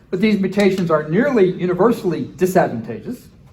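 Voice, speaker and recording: Recorded with audible room echo, a man talks at a fairly quick pace in a high pitch with lively intonation. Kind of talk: conference lecture. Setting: conference breakout session with audience. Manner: fast.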